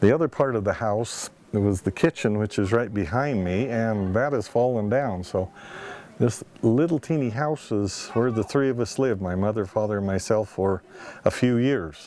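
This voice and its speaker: With an American accent, a man speaks at a moderate pace and fairly low pitch with ordinary pitch variation over noticeable background noise. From Montana. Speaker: local history narrator. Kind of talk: reminiscing narration.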